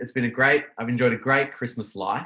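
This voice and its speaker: Talking at a fairly quick pace, a man with an Australian accent uses a medium pitch and a bright, sharp tone. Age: 30s. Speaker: small business owner. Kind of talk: casual chat.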